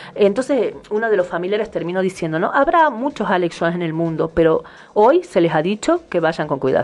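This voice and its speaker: This woman has a normal speaking voice at a medium pitch. She moves at a fairly quick pace with lively intonation. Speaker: radio host. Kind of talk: casual chat.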